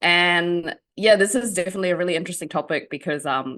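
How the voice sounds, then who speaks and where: Talking at a very fast pace, a woman has a New Zealand accent. Her pitch varies in an ordinary way. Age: 30s. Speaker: journalist and writer. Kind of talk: interview. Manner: hesitant, many fillers.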